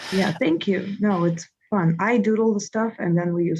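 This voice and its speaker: A woman speaks with a Russian accent. Her intonation is fairly even. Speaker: comedian and comedy producer. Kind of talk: casual interview.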